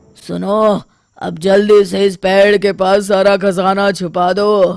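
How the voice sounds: In a cartoonish character voice, a man speaks at a high pitch with monotone, flat intonation and a fairly slow pace.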